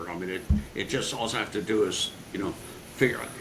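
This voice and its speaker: A man talks over noticeable background noise. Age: 70s. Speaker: sports marketing executive and author. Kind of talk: interview. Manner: halting.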